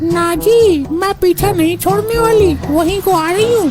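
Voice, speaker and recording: In a cartoonish character voice, a woman speaks at an extremely high pitch and a moderate pace with very even loudness, over loud background noise. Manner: loud, scolding.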